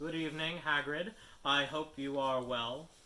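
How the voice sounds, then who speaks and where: Putting on a character voice, a man speaks at fairly high pitch and a moderate pace. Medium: read story. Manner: formal, terse.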